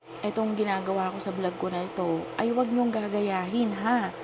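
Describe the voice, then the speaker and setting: Soft-spoken and at medium pitch, a woman talks at a moderate pace with fairly even intonation, with audible room echo and noticeable background noise. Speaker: vlogger. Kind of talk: casual vlog monologue.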